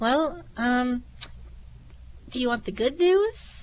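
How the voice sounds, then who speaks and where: Using a put-on character voice, a woman speaks at a very slow pace and a high pitch. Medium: actual play. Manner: dry, sardonic.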